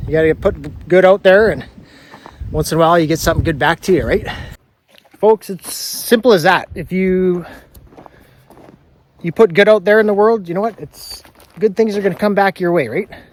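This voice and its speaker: Speaking at a moderate pace with ordinary pitch variation, a man with a high voice pauses often and at length. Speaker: sawmill homesteader vlogger. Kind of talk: casual vlog talk to camera. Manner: casual, rambling with fillers.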